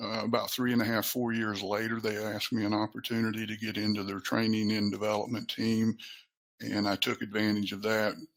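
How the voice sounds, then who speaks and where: In an Appalachian accent, a man talks at a fairly quick pace. His intonation stays flat and monotone. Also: fairly low pitch for a man. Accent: Appalachian American. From US South. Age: 60s. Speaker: training and development professional. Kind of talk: interview. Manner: halting.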